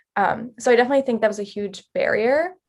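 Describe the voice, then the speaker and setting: A woman talks in a plain, everyday voice at a moderate pace, with ordinary pitch variation. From Mexico, moved to Canada at 11. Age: 20s. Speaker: youth mentor. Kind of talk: panel discussion.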